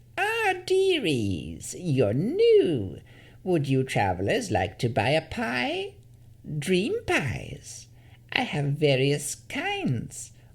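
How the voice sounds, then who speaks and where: In a put-on character voice, the speaker talks at a very slow pace with a creaky, low-to-middle pitch. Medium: read story. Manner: sugary, wheedling.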